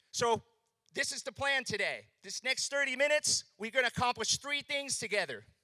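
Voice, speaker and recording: A man's bright, sharp, raised and projected voice, animated in tone with ordinary pitch variation, at a moderate pace, in a dry, close recording with no echo. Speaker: business speaker at a conference. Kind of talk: keynote presentation to live audience. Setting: stage with audience. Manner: loud.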